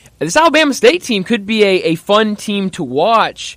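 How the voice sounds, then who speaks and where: His voice is bright and sharp, and the man's intonation is lively. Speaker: sports radio host. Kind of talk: sports radio talk show.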